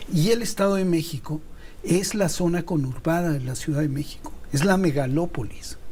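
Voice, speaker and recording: Audible room echo surrounds a man's high-pitched, dark, mellow voice, which moves at a moderate pace with ordinary pitch variation. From Mexico. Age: 70s. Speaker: TV producer and political commentator. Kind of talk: heated debate.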